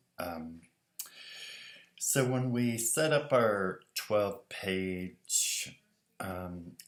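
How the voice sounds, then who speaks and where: Over a quiet background with audible room echo, a man with a fairly low pitch speaks very slowly and with lively intonation, leaving long, frequent pauses. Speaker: design teacher. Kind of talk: tutorial talk to students. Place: home room. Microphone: webcam.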